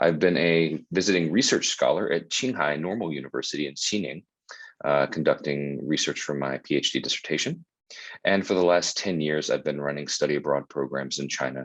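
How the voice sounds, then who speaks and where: A man with an American accent talks at a fairly quick pace with a very deep, low pitch. There is vocal fry and ordinary pitch variation. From US South, Charlotte, North Carolina. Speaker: university admissions staff. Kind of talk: informational webinar presentation. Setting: Zoom webinar.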